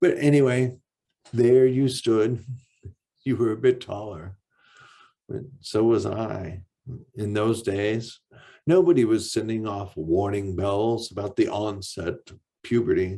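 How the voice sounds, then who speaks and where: At a fairly slow pace with long, frequent pauses, a man speaks at medium pitch in a dark, mellow tone, with ordinary pitch variation and big swings in loudness. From Michigan Upper Peninsula, Ironwood. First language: deaf speaker, lost hearing as infant. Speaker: author. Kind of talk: reading aloud.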